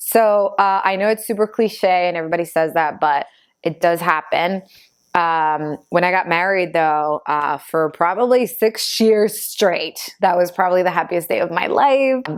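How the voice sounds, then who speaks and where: A woman speaks at a fairly low pitch with ordinary pitch variation and very even loudness. Her moderate pace comes through on a very clean recording with a silent background. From Argentina (Buenos Aires) until six, then New Jersey. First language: Spanish. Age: 30s. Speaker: vlogger. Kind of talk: casual Q&A vlog. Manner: hesitant with fillers.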